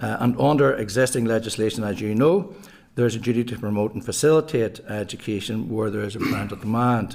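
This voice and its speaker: A man's medium-pitched voice with a Belfast accent, rushing along at a very fast pace. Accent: Belfast Northern Irish. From west Belfast, Northern Ireland. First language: Irish. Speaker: primary school principal giving evidence. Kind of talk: prepared committee briefing.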